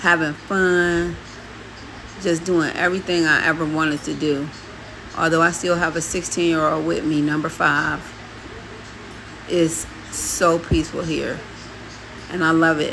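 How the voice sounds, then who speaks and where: A flat, monotone voice with long, frequent pauses. The room echo is audible, and there is noticeable background noise. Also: woman, fairly low pitch for a woman. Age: 60s. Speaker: vlogger and adoptive mother. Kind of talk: casual storytime vlog.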